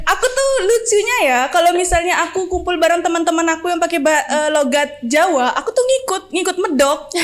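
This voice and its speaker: A woman talks at a fairly quick pace with hardly any pauses, her extremely high voice carrying lively intonation. Background noise is noticeable. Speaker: university student, podcast guest. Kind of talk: casual chat.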